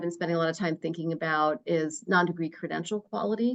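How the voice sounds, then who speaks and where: At a fairly quick pace, a woman speaks with fairly low pitch and ordinary pitch variation. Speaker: researcher presenting to a state education council. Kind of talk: presentation at a public meeting. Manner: fast; many fillers and repetitions.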